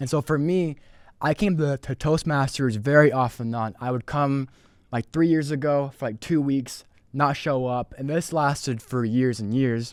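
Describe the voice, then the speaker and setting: A man with an unremarkable speaking voice talks at a moderate pace, his fairly high pitch showing ordinary pitch variation. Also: very clean recording, silent background. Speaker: sales representative. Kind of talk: podcast interview answer.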